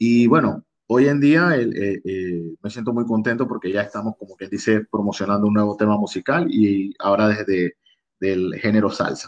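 With a Panamanian accent, this man speaks at a moderate pace in a fairly low pitch with ordinary pitch variation, recorded dry and close with no echo. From Panama, Colón province (Costa Abajo). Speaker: singer-songwriter. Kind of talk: interview. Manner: halting, many repetitions.

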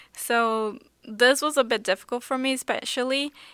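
A woman with a high pitch and a bright, sharp tone speaks at a fairly slow pace. Her intonation is fairly even, on a very clean recording with a silent background. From Brazil, Sao Paulo. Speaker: startup product and operations lead. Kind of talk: casual interview chat.

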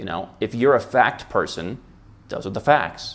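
A man is speaking. He has a Midwestern American accent. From US Midwest. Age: 30s. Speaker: international tax and residency consultant. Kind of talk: interview.

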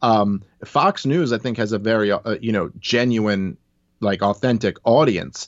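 A man with an American accent, medium pitch, and a fairly slow pace. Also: ordinary pitch variation. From New York. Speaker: libertarian commentator. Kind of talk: interview. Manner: halting.

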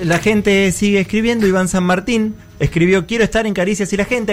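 A high-pitched man talks at a fairly quick pace. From Argentina, Tandil. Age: 30s. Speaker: radio podcast co-host. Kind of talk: casual panel chat.

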